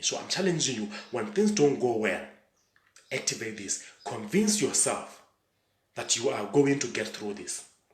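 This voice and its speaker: A man talks in a fairly high voice with very wide pitch swings and an animated tone. Room echo is audible. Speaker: motivational speaker and coach. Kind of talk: motivational talk.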